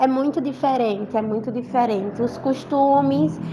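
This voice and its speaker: The speaker is a woman. She talks in a fairly high register. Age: 20s. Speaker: university student. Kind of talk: interview.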